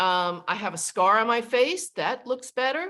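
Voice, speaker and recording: A woman's raised, projected voice with a bright, sharp tone at a moderate pace. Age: 60s. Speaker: sales team leader. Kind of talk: video call presentation.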